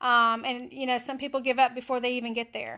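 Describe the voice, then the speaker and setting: A bright, sharp voice with a Southern US accent comes through on a very clean recording with a silent background. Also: woman. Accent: US South. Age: 60s. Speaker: keto diet vlogger. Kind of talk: casual live stream tips. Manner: halting, many fillers.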